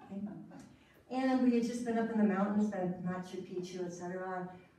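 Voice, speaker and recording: Ordinary pitch variation with audible room echo. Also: woman. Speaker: storyteller. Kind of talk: storytelling performance. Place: hall. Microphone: camera far.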